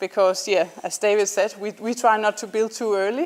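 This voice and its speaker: A woman speaks with a Danish accent. Her pitch is medium and her pace moderate. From Denmark. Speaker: startup founder. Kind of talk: student presentation. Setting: presentation to an audience. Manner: hesitant, many ums.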